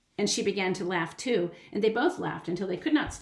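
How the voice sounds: Lively intonation in a natural reading voice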